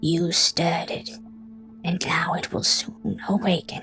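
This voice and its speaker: Whispering in a put-on character voice at a fairly slow pace, with clear music in the background. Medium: read story. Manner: irritated, fearful undertone.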